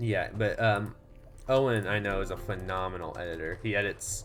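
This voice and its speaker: A man with an American accent talks at a moderate pace, his voice fairly low with vocal fry. Room echo is audible around him. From Texas. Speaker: gaming streamer. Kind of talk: casual chat. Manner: hesitant, many fillers.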